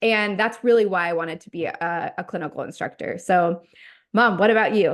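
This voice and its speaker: A woman in a normal speaking voice talks at a fairly quick pace with medium pitch, ordinary pitch variation and big swings in loudness against a quiet background. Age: 30s. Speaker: nurse and clinical instructor, podcast co-host. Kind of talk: casual chat.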